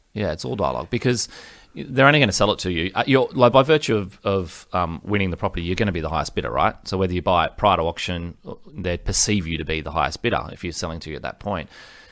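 Very fast, lively speech in an Australian accent on a very clean recording with a silent background. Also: man, very deep, low pitch for a man. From Australia, Gold Coast. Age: 40s. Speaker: property negotiator. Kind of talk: interview.

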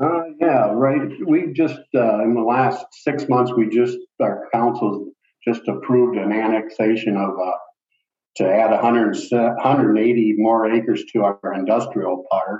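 Very slowly and at very even loudness, a man talks at medium pitch with ordinary pitch variation. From northwest Ohio, US Midwest. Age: 60s. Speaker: village administrator. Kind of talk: interview. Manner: halting.

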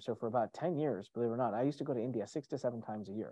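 Against a quiet background, the speaker's pitch varies in an ordinary way. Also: man. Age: 30s. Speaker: entrepreneur and motivational speaker. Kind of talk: casual chat. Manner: animated.

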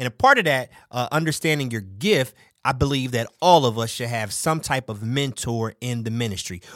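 A man with an American accent has an ordinary speaking voice at medium pitch with ordinary pitch variation. The recording is very clean with a silent background. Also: moderate pace. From Philadelphia. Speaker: podcast host and pastor. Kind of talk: casual interview.

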